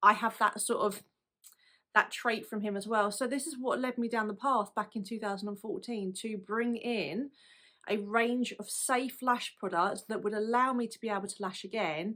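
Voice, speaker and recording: With a British accent, a woman speaks at a fairly high pitch and a moderate pace, using fairly even intonation. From UK. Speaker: lash artist and product business owner. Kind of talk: personal story to camera. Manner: casual, conversational.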